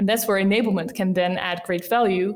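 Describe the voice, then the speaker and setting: A woman speaks at a moderate pace with a Dutch accent, her medium pitch carried on fairly even intonation. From Netherlands, Rotterdam. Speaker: sales enablement team lead. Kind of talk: interview.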